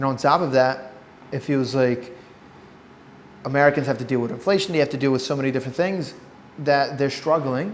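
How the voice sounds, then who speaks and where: At a fairly quick pace, a medium-pitched man speaks with ordinary pitch variation and long, frequent pauses. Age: 20s. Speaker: podcast host. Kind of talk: casual interview.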